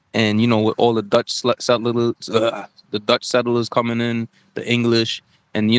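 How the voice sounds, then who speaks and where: A man with an American accent speaks at a medium pitch and moderate pace. His intonation is monotone and flat, with a dry, close sound and no echo. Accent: New York accent, balanced when speaking. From New York. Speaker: talk show host. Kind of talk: casual live-stream chat. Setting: live stream with chat. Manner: casual, repetitive with filler words.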